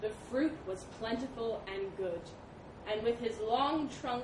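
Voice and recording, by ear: Someone reads a passage aloud in a natural voice.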